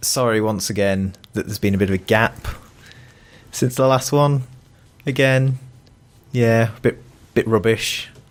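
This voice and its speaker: Long, frequent pauses break up this man's speech at a moderate pace. He has a British accent, a medium pitch and fairly even intonation. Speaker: podcast co-host. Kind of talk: casual chat.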